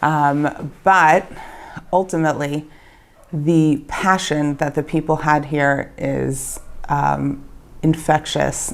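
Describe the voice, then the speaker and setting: A woman with a Baltimore accent speaks in a very deep, low voice with monotone, flat intonation. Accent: American (Baltimore). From Baltimore, Maryland, USA. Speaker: bakery owner. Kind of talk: interview answer.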